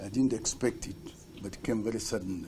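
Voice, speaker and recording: The man's voice is somewhat breathy and dark and mellow in tone, at medium pitch with ordinary pitch variation. Room echo is audible. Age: 70s. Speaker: accused person testifying in court. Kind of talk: court testimony. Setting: courtroom.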